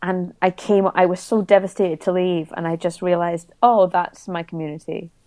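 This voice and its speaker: In a Scottish Highland accent, a woman speaks at a moderate pace with a fairly low pitch, a dark, mellow tone and monotone, flat intonation against a quiet background. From Scotland, Isle of Mull. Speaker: singer and cabaret artist. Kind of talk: casual interview chat.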